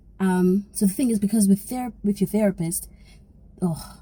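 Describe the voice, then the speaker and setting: Her voice is dark and mellow, somewhat breathy, and medium in pitch. The woman speaks at a moderate pace. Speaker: YouTuber. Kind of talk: vlog. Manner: whispering.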